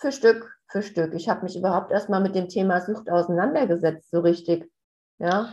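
A woman's medium-pitched voice, dark and mellow in tone, at a moderate pace with ordinary pitch variation. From Hessen, near Hanau. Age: 40s. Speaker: family coach, addiction relative. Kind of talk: interview, personal testimony.

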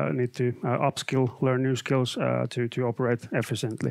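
Speaking with a Finnish accent at a moderate pace, a man with a medium-pitched voice sounds dry and close, with no echo. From Finland. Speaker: IT consultant and trainer. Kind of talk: live webcast presentation. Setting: studio.

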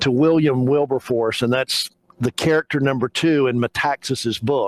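Quiet surroundings and an unforced reading voice.

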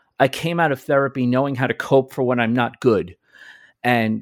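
At a moderate pace, a man speaks in a plain, everyday voice with ordinary pitch variation, the sound dry and close with no echo and the recording very clean over a silent background. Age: 40s. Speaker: podcast host. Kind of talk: casual chat.

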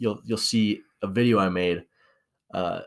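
A man with an American accent and a normal speaking voice, at a fairly slow pace with fairly even intonation. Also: very clean recording, silent background. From Washington state. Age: young. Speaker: podcast co-host, college student. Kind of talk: casual chat.

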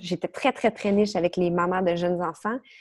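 A woman speaks at a medium pitch. The recording is very clean with a silent background and a dry, close sound with no echo. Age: 30s. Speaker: stress and anxiety coach. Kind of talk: interview.

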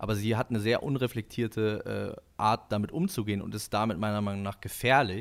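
A normal speaking voice from a man, fairly low in pitch, at a moderate pace with fairly even intonation, in a very clean recording with a silent background. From northern Germany (Husum). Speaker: musician and podcaster. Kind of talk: casual chat.

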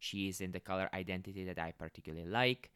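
With a non-native accent, a man talks at a fairly quick pace in a very deep, low pitch, with a dry, close sound and no echo. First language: not English (non-native speaker). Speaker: podcast host. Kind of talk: solo podcast monologue, casual. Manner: casual, upbeat, conversational.

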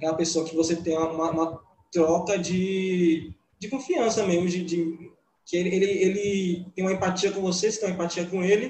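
A high-pitched male voice with fairly even intonation, heard with audible room echo. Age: 20s. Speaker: art teacher and student. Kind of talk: casual chat. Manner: stammering.

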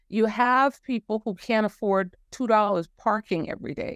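An ordinary speaking voice comes at a moderate pace in a very clean recording over a silent background, its sound dry and close, with no echo. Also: woman. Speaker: musician, author, humorist, cancer survivor. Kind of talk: casual interview, storytelling.

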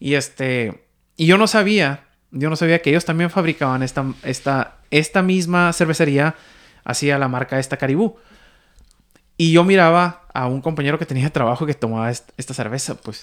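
In a very clean recording with a silent background, a man with a plain, everyday voice speaks at a moderate pace and a fairly high pitch. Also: ordinary pitch variation. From Mexico. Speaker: podcast host. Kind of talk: casual chat.

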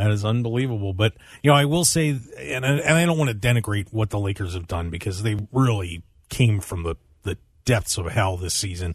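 Over a quiet background, a man with a fairly low, somewhat breathy voice talks at a fairly quick pace with lively intonation. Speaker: producer and co-host. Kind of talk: casual sports banter on radio. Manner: laughing, jokey, easygoing.

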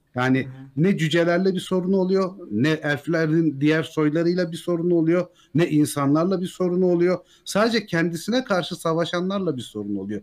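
This man has a high-pitched voice, talking at a moderate pace with ordinary pitch variation. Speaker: YouTube Tolkien lore narrator. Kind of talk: casual chat.

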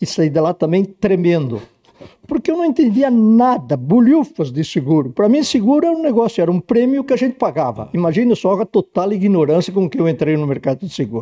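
A man with a high pitch and a dark, mellow tone makes very wide pitch swings. The sound is dry and close, with no echo. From Rio Grande do Sul, Brazil. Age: 80s. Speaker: insurance broker. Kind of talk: interview.

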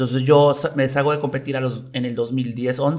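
A man with an ordinary speaking voice at medium pitch. He talks at a moderate pace with fairly even intonation. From Mexico, Veracruz (Coatzacoalcos). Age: 30s. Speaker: taekwondo athlete and coach. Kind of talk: casual interview chat.

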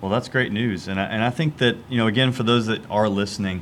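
A man with an American accent and an unremarkable speaking voice talks at a fairly quick pace, his fairly low pitch showing ordinary variation. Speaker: podcast host. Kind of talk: casual chat. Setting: studio.

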